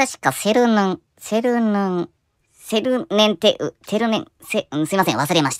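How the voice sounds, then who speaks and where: A cartoonish character voice at a fairly high pitch moves along at a moderate pace. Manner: polite, formal.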